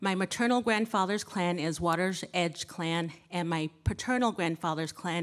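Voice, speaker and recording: Over a quiet background, a woman speaks at a fairly low pitch with ordinary pitch variation. She keeps a moderate pace with hardly any pauses. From US Southwest, Navajo Reservation, Shiprock, New Mexico. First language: Navajo. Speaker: church member reading scripture. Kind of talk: scripture reading; personal introduction. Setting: church service. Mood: calm, reverent. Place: church. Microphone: podium.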